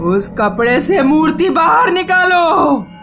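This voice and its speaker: A woman uses a cartoonish character voice with a high pitch. Clear background noise runs underneath. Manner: menacing.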